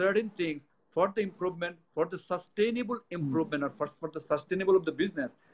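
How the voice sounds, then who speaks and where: The speaker has a Bengali accent and lively intonation. The pace is fairly quick. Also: man. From Bangladesh. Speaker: company executive; guest. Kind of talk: interview; interview answer. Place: office. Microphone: speakerphone, speaking louder.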